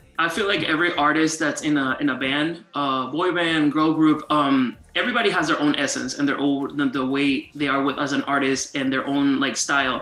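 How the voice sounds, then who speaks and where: A man with a Spanish accent at a fairly high pitch, moderate pace and fairly even intonation, hardly any pauses, noticeable background noise behind him. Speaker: interviewer. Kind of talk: casual interview.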